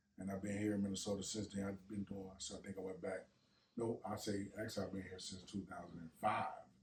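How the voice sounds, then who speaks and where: The speaker talks at a very fast pace in a somewhat breathy voice, keeping the intonation fairly even. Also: man, fairly low pitch for a man. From US South, Natchez, Mississippi. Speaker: rapper. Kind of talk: casual chat.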